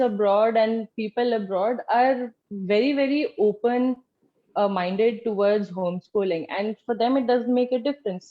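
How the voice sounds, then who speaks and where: An Indian accent at a fairly slow pace, with ordinary pitch variation. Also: woman, very even loudness. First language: Hindi. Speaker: former homeschooler, political party official. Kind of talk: interview.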